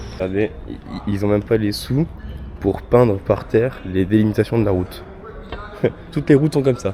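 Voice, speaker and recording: Amid noticeable background noise, a man with a fairly low pitch talks at a fairly quick pace, leaving long, frequent pauses. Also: ordinary pitch variation. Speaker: vlogger. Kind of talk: casual vlog chat.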